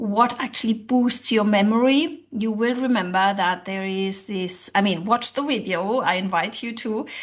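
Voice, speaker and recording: A woman with a non-native accent speaks with a fairly high pitch. Her pitch varies in an ordinary way against a quiet background. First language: not English. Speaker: language coach and social psychologist. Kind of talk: online tutorial. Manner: conversational with hesitations.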